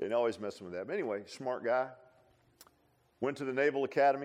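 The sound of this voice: The pace is fast, with ordinary pitch variation. The tone comes across slightly mellow. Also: man, medium pitch for a man.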